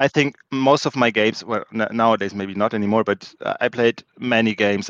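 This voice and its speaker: In a German accent, a man speaks at medium pitch and a moderate pace with fairly even intonation, the sound dry and close with no echo against a quiet background. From Germany. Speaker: board game tournament champion. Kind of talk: casual interview.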